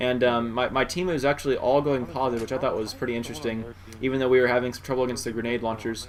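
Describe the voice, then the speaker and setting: A man at a medium pitch, talking at a very fast pace with ordinary pitch variation, over noticeable background noise. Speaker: gaming commentator. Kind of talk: gameplay commentary.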